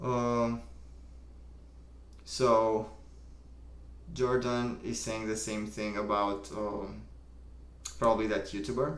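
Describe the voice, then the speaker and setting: With audible room echo, the speaker goes at a very slow pace, leaving long and frequent pauses, and keeps the intonation fairly even. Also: man, fairly low pitch for a man. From Romania. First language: Romanian. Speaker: livestream host. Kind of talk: casual chat. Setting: live stream. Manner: casual, filler-heavy.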